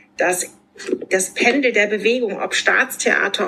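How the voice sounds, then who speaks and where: Noticeable background noise behind a woman's fairly high voice, moderately paced, with ordinary pitch variation. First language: German. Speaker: podcast host. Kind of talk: podcast interview.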